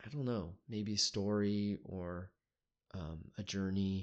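A man speaks very slowly in a fairly low voice against a quiet background. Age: 30s. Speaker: solo podcaster sharing psychedelic experiences. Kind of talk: personal monologue trip report. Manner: halting, with frequent fillers.

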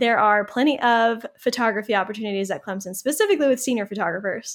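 Speaking at a fairly quick pace, a woman with an American accent has a fairly high pitch and ordinary pitch variation on a very clean recording with a silent background. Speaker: wedding photographer and attorney. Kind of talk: casual interview. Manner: animated.

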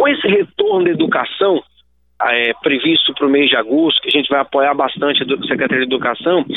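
A man with lively intonation. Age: 30s. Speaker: state government secretary. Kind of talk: radio interview.

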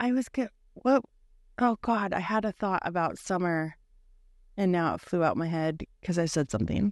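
A woman with a Pacific Northwest accent speaks at medium pitch and a moderate pace, with lively intonation and long, frequent pauses. The sound is dry and close with no echo, over a quiet background. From Bothell, Washington, US Pacific Northwest. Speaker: podcast co-host. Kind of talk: casual chat.

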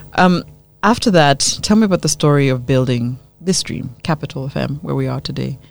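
A woman with a very deep, low voice, vocal fry, lively intonation and a fairly quick pace. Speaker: radio host. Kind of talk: radio interview. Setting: studio.

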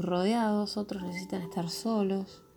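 The talking goes along fairly slowly. Background music plays underneath. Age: 30s. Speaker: spiritual podcaster. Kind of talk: reflective spiritual monologue. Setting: home recording corner.

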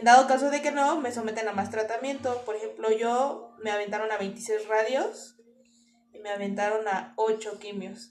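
A woman at a fairly high pitch, fairly even intonation and a moderate pace, with music in the background. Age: 20s. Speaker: cancer patient. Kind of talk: interview testimony.

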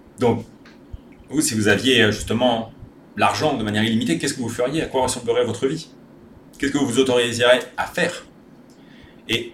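With audible room echo, the speech moves at a fairly quick pace with ordinary pitch variation. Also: man. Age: 30s. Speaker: spiritual content creator. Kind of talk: personal monologue video. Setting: rented bungalow at home.

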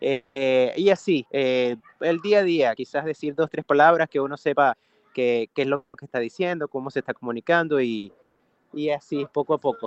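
In a plain, everyday voice, a man with a fairly high pitch talks at a moderate pace with ordinary pitch variation. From Venezuela, Valencia (Carabobo). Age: 30s. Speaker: singer and music producer. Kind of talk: interview.

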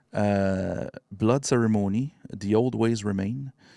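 In a very clean recording with a silent background and a dry, close sound with no echo, a man with a Quebec accent talks in a fairly low pitch with ordinary pitch variation. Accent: Québécois French. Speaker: podcast host. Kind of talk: casual chat. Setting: live stream.

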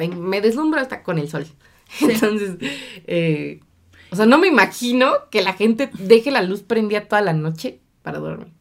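At a moderate pace, a woman with medium pitch uses lively intonation and big swings in loudness. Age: 20s. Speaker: podcast co-host. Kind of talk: casual chat.

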